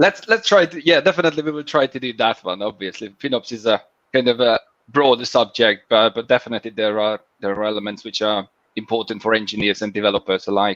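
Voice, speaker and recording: Speaking very fast with a Hungarian accent, a man at medium pitch sounds dry with no echo against a quiet background. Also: ordinary pitch variation. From Hungary. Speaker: FinOps engineer. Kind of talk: interview. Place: home room. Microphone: video call.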